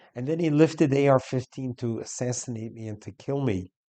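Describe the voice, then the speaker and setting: A man's dark, mellow voice with an American accent, dry and close with no echo. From US Northeast, New York. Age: 60s. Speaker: rabbi. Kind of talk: commentary talk / testimony.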